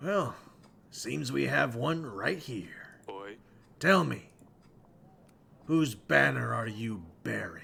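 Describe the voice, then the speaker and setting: A man speaks in a raspy, put-on character voice at medium pitch, moving at a very slow pace with long, frequent pauses and very wide pitch swings. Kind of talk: regal pronouncement. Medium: virtual streamer. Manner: stern, commanding.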